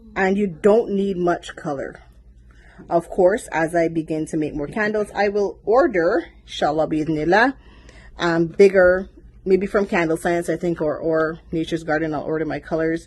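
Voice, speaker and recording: This voice has ordinary pitch variation and a Caribbean accent. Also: woman, fairly low pitch for a woman, moderate pace. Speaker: small business owner vlogger. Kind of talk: casual unboxing vlog.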